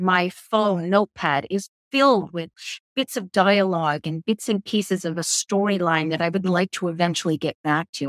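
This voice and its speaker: A woman's fairly low voice at a moderate pace with ordinary pitch variation, dry and close with no echo. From Northern Ireland, British family, raised in Canada. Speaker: playwright and actor. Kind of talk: interview.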